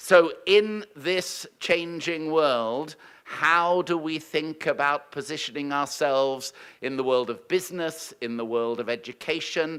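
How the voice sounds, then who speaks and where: The recording is very clean, with a silent background. A man with a British accent talks with ordinary pitch variation. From United Kingdom. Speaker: university leader welcoming conference. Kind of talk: welcome speech. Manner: formal.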